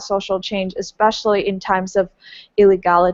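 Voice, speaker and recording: A woman speaks with a Taiwanese accent. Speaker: webinar moderator. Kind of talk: interview moderation.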